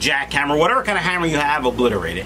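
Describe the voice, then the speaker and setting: A man is speaking. Music plays in the background. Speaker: fish breeder vlogger. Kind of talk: casual vlog chat. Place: home room.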